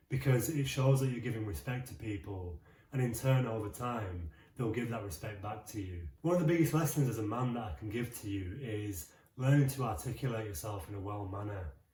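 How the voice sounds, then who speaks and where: A man's dark, mellow voice, somewhat breathy, with lively intonation and audible room echo. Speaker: self-improvement vlogger. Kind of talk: advice monologue.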